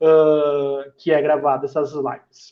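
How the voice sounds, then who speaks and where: In a monotone, flat intonation, a man speaks at a fairly high pitch. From southern Brazil, Porto Alegre. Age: 30s. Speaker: football coach. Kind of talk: online live talk. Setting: live stream. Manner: hesitant, with filler sounds.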